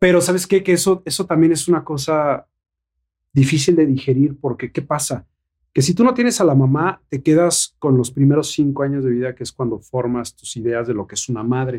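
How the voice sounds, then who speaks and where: In a normal speaking voice, the speaker moves at a fairly quick pace with ordinary pitch variation. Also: man, fairly high pitch for a man. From Mexico. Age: 40s. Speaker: actor and model. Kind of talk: casual chat.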